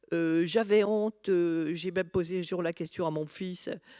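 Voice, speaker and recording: A dark, mellow tone at a moderate pace, with ordinary pitch variation, dry, close sound with no echo, and a very clean recording over a silent background. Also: woman. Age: 60s. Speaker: patient expert. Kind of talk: personal testimony at a conference. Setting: conference talk. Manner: halting, many hesitations.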